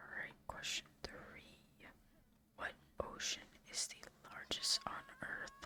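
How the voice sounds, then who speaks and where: Someone whispers in a calm tone at a very slow pace, leaving long, frequent pauses. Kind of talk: ASMR quiz host, soft-spoken trivia with gameplay commentary. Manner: soft, whispery, calm.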